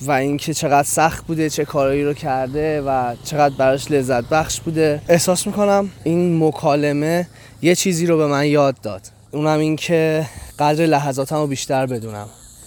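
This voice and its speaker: Ordinary pitch movement runs through speech delivered at a moderate tempo. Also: man, fairly high pitch for a man. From Iran. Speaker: travel podcaster. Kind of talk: travelogue narration. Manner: animated.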